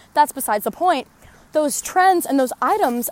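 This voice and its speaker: Against noticeable background noise, a woman talks with lively intonation. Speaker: podcast host. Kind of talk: casual monologue while walking. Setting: outdoors, walking. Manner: animated, enthusiastic.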